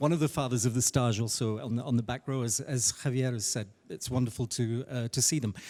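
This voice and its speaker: Speaking at a fairly quick pace, a man is heard in a very clean recording with a silent background. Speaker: conference interpreter and interpreter trainer. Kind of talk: panel discussion. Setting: conference panel with audience. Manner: fast; hesitant, many fillers.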